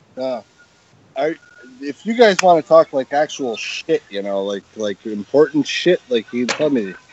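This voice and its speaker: The pitch swings very widely. Noticeable background noise runs throughout. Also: man, fairly high pitch for a man, fairly slow pace. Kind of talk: casual chat. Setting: live stream.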